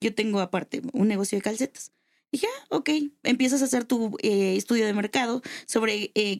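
A woman speaks in an ordinary speaking voice, fairly high in pitch, with ordinary pitch variation and a moderate pace. The sound is dry and close with no echo. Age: 20s. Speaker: lawyer and adult toy seller. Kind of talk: casual chat.

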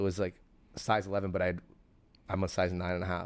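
Flat, monotone intonation in a Toronto accent, on a very clean recording with a silent background. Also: man. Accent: Canadian (Toronto). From Toronto area, Canada. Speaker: sneaker store founder. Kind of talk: casual interview. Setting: in his sneaker store.

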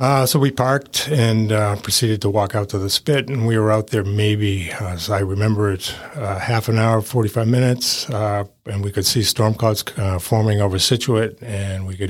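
Against noticeable background noise, a man with an American accent talks at a moderate pace in a fairly low voice with fairly even intonation. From Massachusetts. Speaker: lightning strike survivor. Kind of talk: interview, personal story. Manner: hesitant, many fillers.

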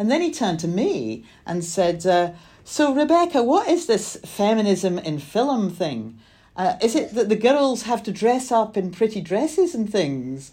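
A woman with a fairly high pitch speaks in a dark, mellow tone, with vocal fry and very wide pitch swings. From Scotland, small town. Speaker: film producer. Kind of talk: interview.

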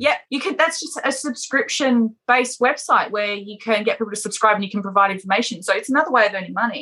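A woman with an Australian accent talks at a very fast pace, hardly pausing at all, with a fairly high pitch. Her tone is bright and sharp, and her intonation is lively. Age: 40s. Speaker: adult performer and bodybuilder. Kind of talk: casual interview.

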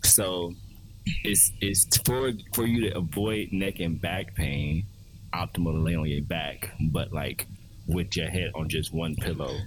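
A man's very deep, low voice, somewhat breathy, with ordinary pitch variation and a fairly slow pace. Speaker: podcast co-host. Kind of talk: casual chat about anime.

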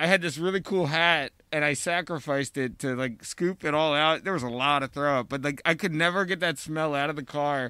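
A man talks at a fairly quick pace with hardly any pauses, using an ordinary speaking voice. His pitch is fairly high with ordinary variation, in a very clean recording with a silent background. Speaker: podcast host. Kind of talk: casual chat. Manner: joking.

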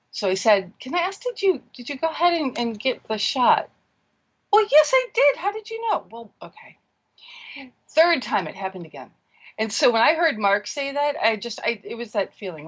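In an American accent, a woman talks at a moderate pace. Her loudness swings a lot, and her pitch swings very widely. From US Pacific Northwest. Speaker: caller. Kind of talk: phone-in call.

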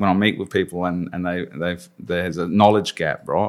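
A man with an Australian accent and a very deep, low pitch speaks in a monotone, flat way in a very clean recording with a silent background. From Australia, Adelaide. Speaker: agile coach. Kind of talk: interview. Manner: halting.

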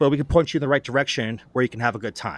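A man's normal speaking voice, medium in pitch with ordinary pitch variation, in a dry, close sound with no echo. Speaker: mayoral running mate candidate. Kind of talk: casual interview.

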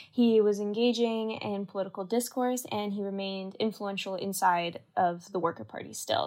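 Speaking in an unremarkable speaking voice, a woman has a Canadian accent and fairly even intonation at a moderate pace. The recording is very clean with a silent background. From Canada. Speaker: university student. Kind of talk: podcast discussion.

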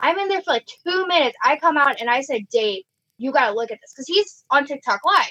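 A woman's raised, projected voice in an American accent, high-pitched with a bright, sharp tone, very wide pitch swings, a very fast pace and dry, close sound with no echo. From Illinois, US Midwest. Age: 20s. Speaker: paranormal investigator.

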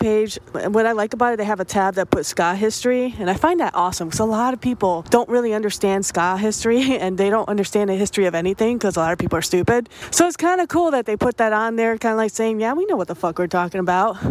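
A woman talks very fast with lively intonation and hardly any pauses while noticeable background noise runs beneath her. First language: not English. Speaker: music podcast host. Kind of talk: casual music show narration. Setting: outdoors, walking in the rain. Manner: animated.

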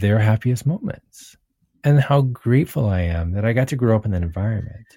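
A man's dark, mellow, somewhat breathy voice, calm in tone, at a moderate pace. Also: very clean recording, silent background. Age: 40s. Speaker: pianist and composer. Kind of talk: casual chat.

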